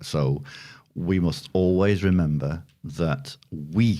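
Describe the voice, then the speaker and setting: This man's voice has a very deep, low pitch and a dark, mellow tone. He speaks in a northern English accent. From northern England. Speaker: podcast co-host. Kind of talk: casual chat.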